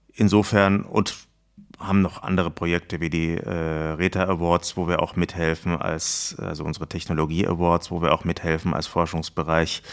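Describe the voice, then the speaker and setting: Against a silent background in a very clean recording, a man with a very deep, low pitch speaks at a moderate pace in a flat, monotone way. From southern Germany, Baden (Lörrach). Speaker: retail IT research executive. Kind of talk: podcast interview.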